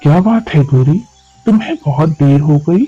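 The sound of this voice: Over faint background music, a man does a cartoonish character voice at a fairly high pitch and a moderate pace.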